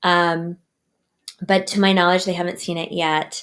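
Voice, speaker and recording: The speaker is a woman. Her voice sits at a medium pitch. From United States, Cuban mother. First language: Spanish. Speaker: children's author and storyteller. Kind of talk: podcast interview.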